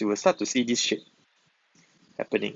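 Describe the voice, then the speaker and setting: His pitch swings very widely as the man speaks. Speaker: biology tutor. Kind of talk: lecture. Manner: fast; hesitant, many fillers.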